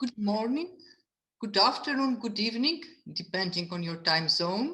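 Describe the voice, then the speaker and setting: A woman with a Greek accent, a bright, sharp tone, very wide pitch swings, a moderate pace and audible room echo. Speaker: museum curator. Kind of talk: lecture. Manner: halting.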